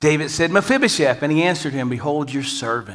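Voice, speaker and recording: A man talks in a bright, sharp tone. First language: English (speaking Spanish). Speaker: guest preacher. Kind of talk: sermon. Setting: church. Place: church.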